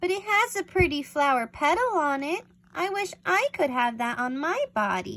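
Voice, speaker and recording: Using a put-on character voice, a woman speaks at a moderate pace in a high, timid tone with very wide pitch swings. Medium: read story.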